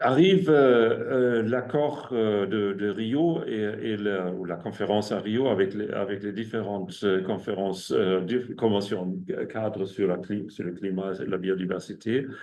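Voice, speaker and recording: A man with a German accent talks at a fairly slow pace with hardly any pauses, his fairly low pitch showing ordinary variation. Audible room echo and noticeable background noise are present. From Germany. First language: German (speaking French). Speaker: ecologist and researcher. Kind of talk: academic seminar talk. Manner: halting, many hesitations and repetitions.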